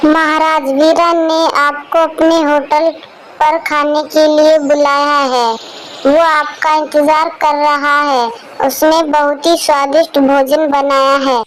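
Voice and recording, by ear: A cartoonish, female-sounding character voice, high in pitch and monotone, flat in intonation, at a fairly slow pace over clear background noise.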